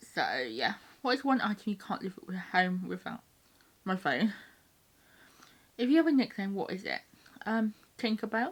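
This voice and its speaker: A woman with a British accent speaks with vocal fry and lively intonation. Her moderate pace is broken by long, frequent pauses. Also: fairly high pitch for a woman. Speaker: YouTuber. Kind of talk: casual chat.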